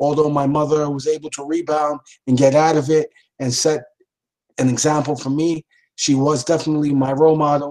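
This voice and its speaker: A man talks at a moderate pace with a New York accent. His intonation stays flat and monotone. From New York City (Lower East Side, Manhattan). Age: 50s. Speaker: police deputy commissioner. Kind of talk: interview.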